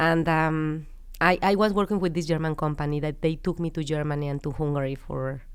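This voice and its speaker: Fairly quick speech with fairly even intonation, on a very clean recording with a silent background. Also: woman, very deep, low pitch for a woman. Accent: Mexican. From Mexico (Querétaro). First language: Spanish. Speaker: business founder. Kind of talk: interview.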